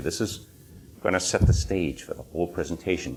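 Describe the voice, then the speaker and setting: Speaking very fast in a New England accent, a man with a very deep, low pitch shows ordinary pitch variation. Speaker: legal system critic, presenter. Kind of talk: conference presentation. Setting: stage with small audience. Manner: informal, relaxed.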